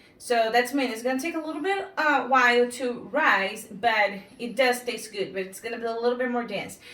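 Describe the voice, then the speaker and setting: A woman with a non-native accent speaks at a moderate pace in a high pitch, with ordinary pitch variation and hardly any pauses. Room echo is audible and background noise is noticeable. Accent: foreign accent, noticeable. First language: not English. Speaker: home cooking instructor. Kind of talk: cooking tutorial. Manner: halting, filler-heavy.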